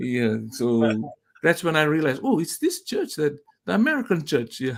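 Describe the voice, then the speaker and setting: Very wide pitch swings in a man's fairly high voice, moderately paced. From Fiji. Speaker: cultural specialist. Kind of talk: interview. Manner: halting.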